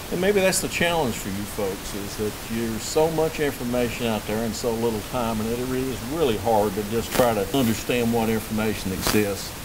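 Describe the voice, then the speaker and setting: A man speaks at a fairly quick pace and a medium pitch, with hardly any pauses. Noticeable background noise is present. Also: ordinary pitch variation. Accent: North Carolina. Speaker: management consultant presenting at a conference. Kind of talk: conference presentation. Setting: conference with live audience. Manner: halting, many fillers.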